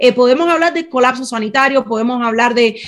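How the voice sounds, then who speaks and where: In a Cuban accent, a woman speaks at a high pitch with ordinary pitch variation. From Cuba, Havana. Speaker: interpreter and small business owner. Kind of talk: interview.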